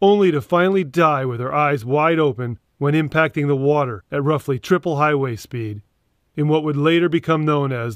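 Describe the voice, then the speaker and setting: A man's fairly high, normal speaking voice at a moderate pace, with ordinary pitch variation and a dry, close sound with no echo. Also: quiet background. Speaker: former airline pilot and author. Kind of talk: audiobook memoir narration.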